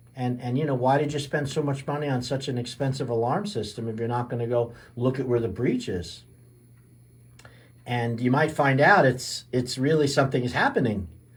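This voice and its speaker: A somewhat breathy man's voice at medium pitch, fairly quick pace, and ordinary pitch variation. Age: 60s. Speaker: chiropractor and radio health show host. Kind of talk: radio health talk. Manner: casual, with many fillers and repetitions.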